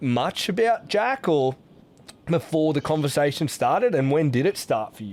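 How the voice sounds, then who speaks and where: With an Australian accent, a man with a fairly high voice speaks fairly slowly, his pitch swinging very widely. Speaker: podcast host. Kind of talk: podcast interview.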